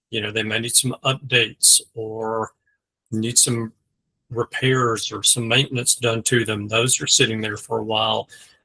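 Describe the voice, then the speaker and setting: A man with a Southern US accent speaks at a moderate pace and medium pitch in a bright, sharp tone. His intonation is flat and monotone, and the sound is dry and close with no echo. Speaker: mortgage lender. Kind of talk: casual discussion.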